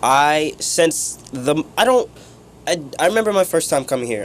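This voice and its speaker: Noticeable background noise fills the recording. The speaker proceeds at a moderate pace. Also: man. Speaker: radio intern and show host. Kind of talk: emotional farewell interview. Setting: radio studio. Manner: halting.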